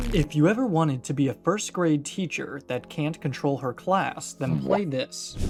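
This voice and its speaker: A fairly slow-talking man, backed by music. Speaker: commentary YouTuber. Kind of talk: casual commentary reading reviews.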